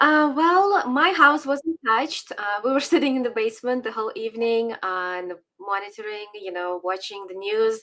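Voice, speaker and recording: A woman with a Ukrainian accent speaks in a bright, sharp, fairly high voice. Her intonation is lively, and she hardly pauses. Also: moderate pace. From Ukraine. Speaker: political commentator. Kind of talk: casual interview chat. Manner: hesitant with fillers.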